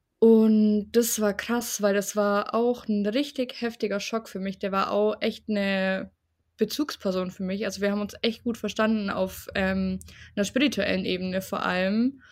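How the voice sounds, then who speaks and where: In a plain, everyday voice, a woman speaks at a moderate pace and medium pitch with fairly even intonation, on a very clean recording with a silent background. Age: 20s. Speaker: bereaved interviewee. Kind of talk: personal testimony in interview. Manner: casual, colloquial.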